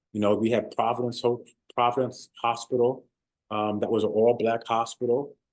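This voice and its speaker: A man's medium-pitched voice, monotone and flat, at a moderate pace. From born in London, England, raised in the US (New Rochelle, New York) from age eight. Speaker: former pro football player and author. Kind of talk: interview. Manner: hesitant, many fillers.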